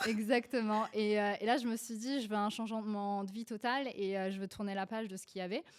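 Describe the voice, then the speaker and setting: Fairly even intonation at a fairly quick pace, in a Polish accent. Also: woman, fairly high pitch for a woman. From Poland, moved to France at 11. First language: Polish (speaking French). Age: 20s. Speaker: beauty entrepreneur. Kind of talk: podcast interview. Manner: hesitant, many fillers.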